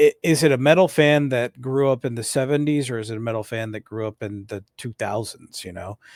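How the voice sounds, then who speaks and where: An unremarkable speaking voice from a man at a fairly quick pace with hardly any pauses, ordinary pitch variation and big swings in loudness, on a very clean, dry, close recording with no echo and a silent background. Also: medium pitch for a man. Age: 30s. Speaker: metal podcast co-host. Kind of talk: casual debate.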